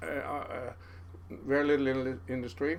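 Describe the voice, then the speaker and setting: A man speaks with a Norwegian accent. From Norway, Karmøy island. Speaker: fisherman. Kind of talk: casual chat.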